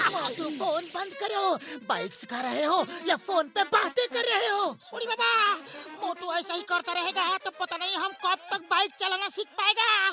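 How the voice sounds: A cartoonish character voice at a moderate pace, with clear background noise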